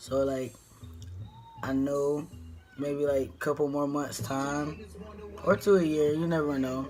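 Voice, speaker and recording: Music plays in the background as a man talks at a fairly slow pace. His pitch is fairly high, with ordinary variation. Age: 20s. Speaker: vlogger. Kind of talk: casual vlog talk. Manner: halting, many fillers.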